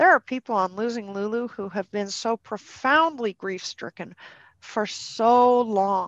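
A woman with a Canadian accent and an ordinary speaking voice talks fairly slowly at a fairly high pitch, with ordinary pitch variation. The sound is dry and close with no echo, over a quiet background. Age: 50s. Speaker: dog behaviour consultant and trainer. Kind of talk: podcast interview.

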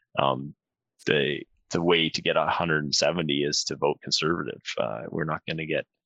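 A man speaks in a western Canadian accent. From northern Alberta, Canada. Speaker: member of parliament. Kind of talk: casual interview.

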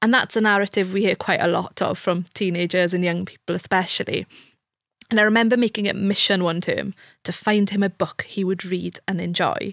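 A woman with a Welsh accent speaks fairly quickly in a medium pitch and a flat monotone, recorded very cleanly against a silent background. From rural Wales. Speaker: university lecturer. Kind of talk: interview conversation.

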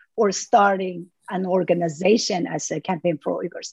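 A woman with a Xinjiang accent speaks at a moderate pace and a medium pitch, her voice dry and close with no echo. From Urumqi, East Turkestan. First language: Uyghur. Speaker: human rights activist. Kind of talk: interview. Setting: video call.

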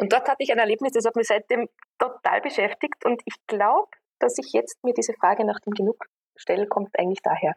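The sound is dry and close, with no echo. A woman talks at a fairly quick pace with ordinary pitch variation. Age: 30s. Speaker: engineer and systemic consultant. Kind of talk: interview conversation.

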